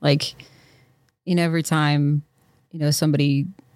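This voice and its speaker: A woman speaks at a very fast pace with a very deep, low pitch. Her intonation is monotone and flat, on a very clean recording with a silent background. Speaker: podcast co-host. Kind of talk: announcements; casual chat. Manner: loud.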